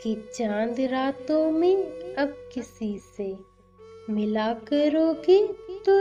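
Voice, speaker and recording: Over music in the background, a woman speaks at a high pitch with very wide pitch swings. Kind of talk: poetry reading.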